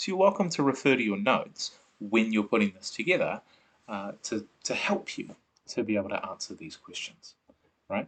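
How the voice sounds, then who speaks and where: With a New Zealand accent, a man at medium pitch speaks with very wide pitch swings and big swings in loudness. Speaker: science teacher. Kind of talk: online lesson. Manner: fast.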